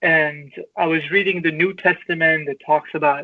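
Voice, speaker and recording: The speaker has an Iranian accent. The pace is moderate. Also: man. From Iran (Tehran). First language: Farsi. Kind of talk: interview, personal life story. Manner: halting, many repetitions and fillers.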